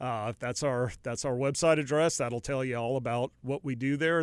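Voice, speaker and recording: In a very clean recording with a silent background, a man with an American accent talks at a moderate pace in an ordinary speaking voice, with medium pitch and fairly even intonation. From North Carolina. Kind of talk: interview.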